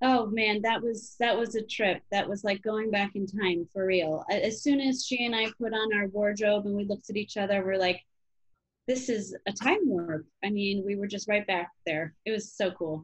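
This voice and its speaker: Over a quiet background, a woman speaks at a moderate pace in an American accent. Her medium-pitched voice is somewhat breathy. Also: ordinary pitch variation. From Chicago area, Illinois; Illinois. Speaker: actress and comedian; actress, comedian. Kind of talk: interview. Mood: cheerful, animated. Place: home room. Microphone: webcam.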